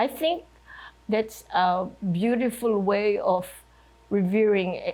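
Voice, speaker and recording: Speaking at a very slow pace, a woman has a fairly high pitch, a dark, mellow tone and ordinary pitch variation. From Philippines (Manila). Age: 90s. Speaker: retired chemist and writer. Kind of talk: oral history interview.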